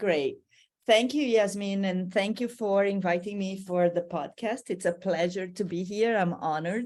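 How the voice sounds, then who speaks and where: A woman with a Brazilian accent speaks at medium pitch and a moderate pace. Her pitch varies in an ordinary way against a quiet background. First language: Portuguese. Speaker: language teacher. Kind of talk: podcast interview.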